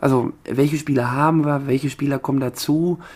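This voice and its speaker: This man's voice sits fairly high. He talks at a moderate pace in a flat monotone. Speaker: table tennis podcast co-host and player. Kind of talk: casual chat.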